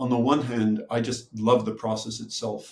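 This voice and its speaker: A man speaks at a moderate pace in a somewhat breathy voice of medium pitch. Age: 60s. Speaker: retired professor and author. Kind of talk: interview. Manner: halting.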